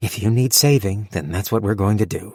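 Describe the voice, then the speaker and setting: A man's put-on character voice, fairly low in pitch and delivered at a fairly quick pace. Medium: read story. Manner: blunt, earnest.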